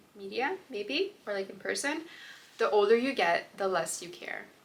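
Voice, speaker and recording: An American accent amid noticeable background noise. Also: woman. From Russia, moved to US at eight. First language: Russian. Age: 20s. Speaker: lifestyle vlogger and bridal shop owner. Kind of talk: casual Q&A vlog.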